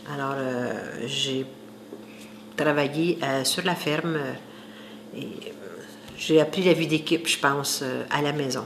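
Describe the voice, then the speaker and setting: Against noticeable background noise, a woman with a very deep, low pitch speaks at a fairly slow pace with ordinary pitch variation. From Quebec, Saint-Hyacinthe area (rural). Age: 60s. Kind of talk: interview testimony.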